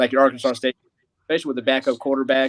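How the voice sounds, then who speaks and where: In a slight Southern US accent, a man speaks at a medium pitch with monotone, flat intonation, the sound dry and close with no echo. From US Midwest. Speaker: college football fan guest. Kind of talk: casual chat.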